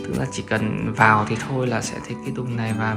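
A fairly quick pace over clear music in the background. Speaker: vlogger showing her home. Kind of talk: casual vlog chat. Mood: cheerful, pleased. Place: home room. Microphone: phone near.

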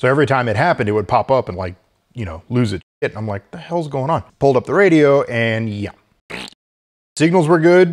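Over a quiet background, a man talks at a fairly quick pace with very wide pitch swings and big swings in loudness. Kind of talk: casual vlog chat. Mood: mildly exasperated, joking. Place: home room. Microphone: lapel.

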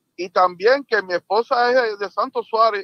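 A man speaks at a moderate pace in a high pitch. The sound is dry with no echo, and the background is quiet. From Cuba. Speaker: caller. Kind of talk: casual chat; live-stream history talk, answering chat. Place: home room. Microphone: studio mic.

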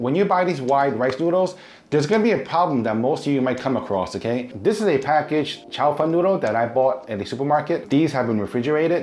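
A man with a medium pitch and a slightly mellow tone talks at a fairly quick pace with lively intonation and few pauses, as faint music plays in the background.

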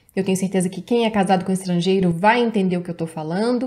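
Her voice carries a dark, mellow tone and is somewhat breathy. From Brazil. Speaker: YouTuber giving relationship advice. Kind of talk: advice video reading and commenting on viewer's letter. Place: home room.

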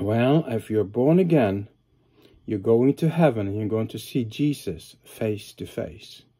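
Dark, mellow male voice at a fairly slow pace against a quiet background. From Norway. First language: Norwegian. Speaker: pastor and psychiatric hospital worker. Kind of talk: sermon-style video talk. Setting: home study, recording alone. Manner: hesitant, many filler uhs. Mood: earnest, calm. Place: home room. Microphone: phone near.

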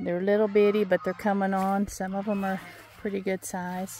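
A woman speaks in a dry sound with no echo over light background noise. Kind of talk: casual vlog chat. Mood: relaxed, reflective. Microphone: phone near.

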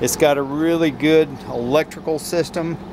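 A man talks at a moderate pace with fairly even intonation. Background noise is noticeable. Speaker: vehicle salesperson. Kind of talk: sales walkaround commentary. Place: street. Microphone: phone near.

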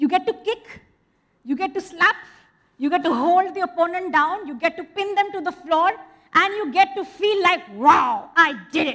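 Against a quiet background, a woman with an extremely high pitch speaks at a moderate pace in an animated tone with lively intonation. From India. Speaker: storyteller. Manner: animated and expressive, with rhythmic repeated refrains; engaging, asks the audience questions and repeats key lines. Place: stage. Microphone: headset.

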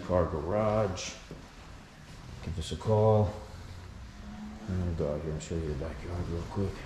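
Loud background noise surrounds a man who speaks at a moderate pace. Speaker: property seller or renovator. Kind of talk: casual walkthrough tour. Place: home room. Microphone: phone near.

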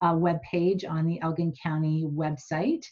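Against a quiet background, a woman with a very deep, low pitch speaks fairly slowly in a somewhat breathy voice. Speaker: meeting facilitator presenting slides. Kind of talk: meeting presentation. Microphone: video call.

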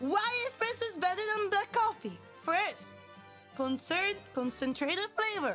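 A woman's raised, projected voice in a strong Italian accent, very slow, with very wide pitch swings and music in the background. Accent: heavy Italian. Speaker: virtual streamer. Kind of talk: casual stream talk.

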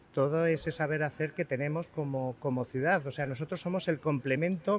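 With a normal speaking voice, a man talks at a moderate pace and a fairly high pitch, his intonation fairly even, in a dry recording with no echo and light background noise. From Spain. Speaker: chef. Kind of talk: live TV interview. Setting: outdoors. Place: street. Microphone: handheld.

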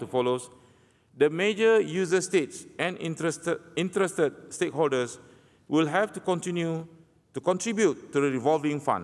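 This man talks at a fairly quick pace in a high pitch. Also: quiet background. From Malaysia. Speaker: naval officer. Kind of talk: conference presentation. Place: hall. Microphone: podium.

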